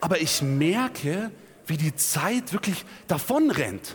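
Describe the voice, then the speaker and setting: A man with very wide pitch swings. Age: 20s. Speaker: preacher. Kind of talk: sermon. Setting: church.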